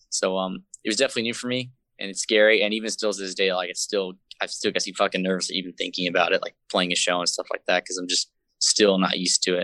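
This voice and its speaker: A man with an American accent, fairly low in pitch, bright and sharp in tone, at a very fast pace with fairly even intonation, in a dry, close sound with no echo and a quiet background. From San Jose, California. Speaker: hardcore band vocalist. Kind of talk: casual interview chat. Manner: casual, hesitant with fillers.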